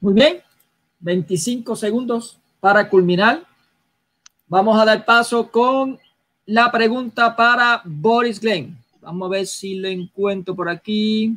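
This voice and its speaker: Speaking at a very slow pace with long, frequent pauses, a man uses a high, bright, sharp voice with ordinary pitch variation. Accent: Puerto Rican. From Puerto Rico. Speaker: debate moderator. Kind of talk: moderating a debate.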